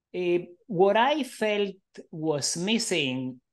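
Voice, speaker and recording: A man's voice over a quiet background. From Argentina. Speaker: professor and psychologist. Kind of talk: interview conversation.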